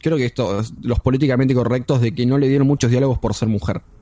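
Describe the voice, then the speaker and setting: Here a man with an unremarkable speaking voice talks at a fairly quick pace in a medium pitch. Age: 20s. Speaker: podcast co-host. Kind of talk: casual chat.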